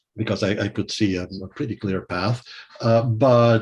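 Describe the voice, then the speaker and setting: A somewhat breathy male voice at a fairly quick pace with ordinary pitch variation. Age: 60s. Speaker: music theory professor and composer. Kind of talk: interview. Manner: hesitant, many fillers.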